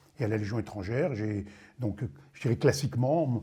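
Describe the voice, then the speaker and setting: Lively intonation marks this man's medium-pitched voice, which has a dark, mellow tone. There is vocal fry, and he talks at a moderate pace. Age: 60s. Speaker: retired army general. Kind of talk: testimony. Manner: hesitant, many fillers.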